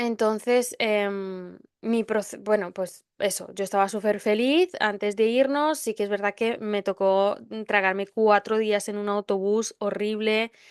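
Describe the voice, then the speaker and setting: A woman speaks at a fairly slow pace and medium pitch with hardly any pauses. Her intonation is fairly even, and the sound is dry and close with no echo. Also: quiet background. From Spain (arrived at 11 from another country). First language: not Spanish (learned Spanish at 11) (speaking Spanish). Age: 20s. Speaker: podcast host. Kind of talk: personal storytelling monologue. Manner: hesitant, many fillers.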